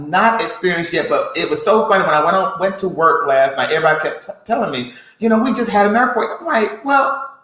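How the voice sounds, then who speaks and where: A high-pitched man speaks in a raised, projected voice at a fairly quick pace. His intonation is lively, and audible room echo is present. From US South, Alabama. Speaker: podcast co-host. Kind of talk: casual chat.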